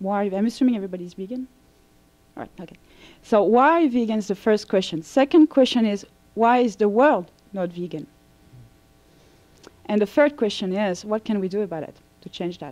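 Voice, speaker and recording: Speaking with a French accent, a woman uses a medium pitch and lively intonation, pausing often and at length while her loudness swings widely. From France. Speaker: vegan coach. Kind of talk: lecture.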